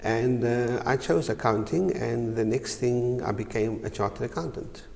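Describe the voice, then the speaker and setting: A man with medium pitch and ordinary pitch variation speaks at a moderate pace. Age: 60s. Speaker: chartered accountant, business director. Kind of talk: TV interview. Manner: hesitant, many uhs.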